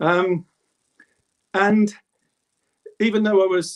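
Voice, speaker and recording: A man in a Birmingham accent is heard in a dry, close sound with no echo. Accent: English Midlands (Birmingham). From England, Birmingham (Handsworth). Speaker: druid. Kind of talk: interview.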